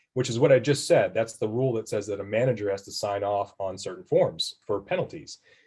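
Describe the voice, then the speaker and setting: A man talks at a fairly quick pace. His tone is dark and mellow and somewhat breathy. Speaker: tax professional presenting a webinar. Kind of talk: webinar presentation. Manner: fast.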